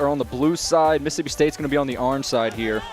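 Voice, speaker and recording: Over music in the background, a man with a fairly high voice speaks very fast in an energetic tone. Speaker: esports shoutcaster. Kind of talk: live esports play-by-play commentary. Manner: energetic, fluent.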